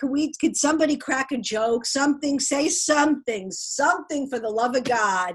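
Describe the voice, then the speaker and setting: A woman speaks with an American accent. Her high voice runs on with hardly any pauses. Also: lively intonation, moderate pace. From Brooklyn, New York. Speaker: stand-up comedian, voice actress. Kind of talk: interview answer. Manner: sassy.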